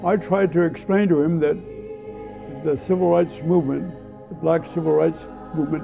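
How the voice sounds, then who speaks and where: A man talks at a moderate pace in a high pitch for a man. Music plays in the background. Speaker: Dakota elder interviewed for an oral history project. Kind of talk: personal storytelling, recounting own history.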